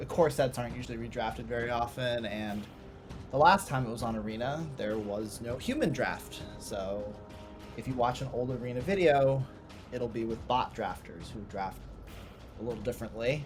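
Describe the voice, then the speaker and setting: A man at medium pitch, moderate pace and ordinary pitch variation, quiet, with music in the background. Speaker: card game video creator. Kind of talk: gameplay commentary. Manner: casual, hesitant.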